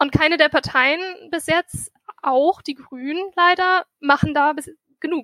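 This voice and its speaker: A woman speaks fairly slowly in a raised, projected voice with a bright, sharp tone and high pitch. Her intonation stays fairly even, and the sound is dry and close with no echo. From Germany, Meerbusch near Düsseldorf. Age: 20s. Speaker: student and mayoral candidate. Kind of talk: interview. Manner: halting.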